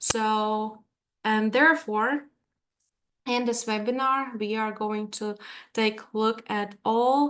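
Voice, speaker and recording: The speech moves at a very slow pace, broken by long, frequent pauses. Intonation stays fairly even, with a Latvian accent. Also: woman, fairly high pitch for a woman. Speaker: language teacher. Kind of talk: webinar presentation. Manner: hesitant, many fillers.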